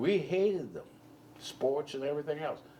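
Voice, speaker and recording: A man with a Charleston accent speaks at a fairly slow pace. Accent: Southern US (Charleston). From Charleston, South Carolina. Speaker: Army veteran. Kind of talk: oral history interview answer.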